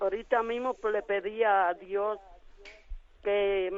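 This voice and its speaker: This woman's voice sits at a medium pitch. She talks at a very slow pace. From Latin America. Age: 60s. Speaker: caller, mother. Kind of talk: phone-in testimony. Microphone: echo from radio playing.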